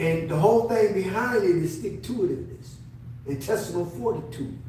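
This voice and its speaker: With an American accent and a high pitch, a man's voice swings very widely in pitch and heavily in loudness, with audible room echo and noticeable background noise. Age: 70s. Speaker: navy veteran. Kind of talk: interview. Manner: halting.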